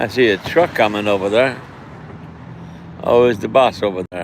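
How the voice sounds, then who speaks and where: A man's voice over noticeable background noise. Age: 60s. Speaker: community advocate. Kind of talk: casual live stream talk outdoors. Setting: outdoors.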